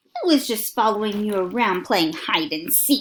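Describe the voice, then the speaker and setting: A woman's put-on character voice, growling, fairly high in pitch, with lively intonation at a moderate pace. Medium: read story. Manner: calm, kindly.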